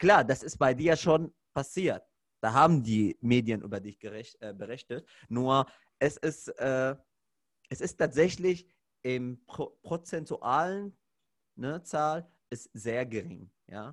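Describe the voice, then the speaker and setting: A man with an Arabic accent speaks at a very slow pace in a medium pitch, his intonation lively and his loudness swinging widely, with long, frequent pauses on a very clean recording against a silent background. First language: Arabic (speaking German). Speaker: podcast host, fitness trainer. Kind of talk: casual chat.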